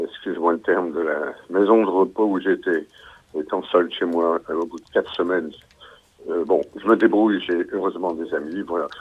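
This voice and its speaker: A man's loudness rises and falls in big swings as he talks at a moderate pace. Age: 60s. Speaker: caller. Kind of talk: call-in testimony.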